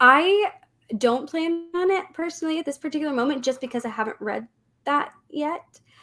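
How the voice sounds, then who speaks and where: Raised and projected, a woman's high-pitched voice moves with lively intonation. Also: moderate pace. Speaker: booktuber. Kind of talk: casual chat. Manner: slight W-like R sound.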